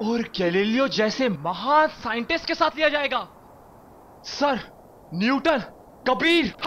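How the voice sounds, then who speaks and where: Light background noise sits behind the recording. A man speaks at a very slow pace. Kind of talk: scripted acted monologue. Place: tunnel cave.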